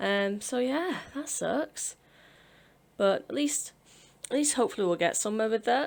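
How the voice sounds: At a moderate pace, a woman speaks with vocal fry and ordinary pitch variation.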